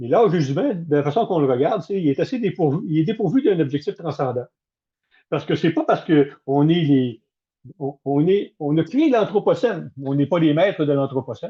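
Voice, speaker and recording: A man with a Quebec accent at a moderate pace. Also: fairly high pitch for a man, lively intonation. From Canada. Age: 70s. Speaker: management consultant and former military officer. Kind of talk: webinar talk. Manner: direct.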